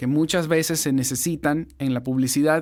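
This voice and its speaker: A man at a fairly slow pace with fairly even intonation, in a very clean recording with a silent background. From Ecuador. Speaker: voice-over producer and podcast host. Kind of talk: podcast intro.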